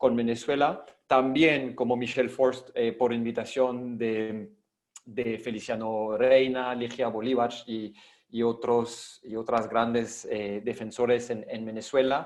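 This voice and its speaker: The speaker has a non-native accent and talks at a very slow pace. The intonation is monotone and flat. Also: man. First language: not Spanish (speaking Spanish). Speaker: international human rights advocate. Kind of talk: panel presentation. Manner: halting, many repetitions.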